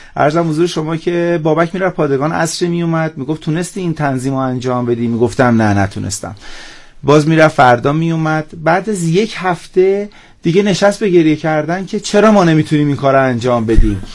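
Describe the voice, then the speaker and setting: With an ordinary speaking voice, a man talks at a fairly quick pace, his intonation lively and his pitch fairly high. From Iran, southeast Tehran. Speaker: entrepreneur. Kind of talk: radio interview.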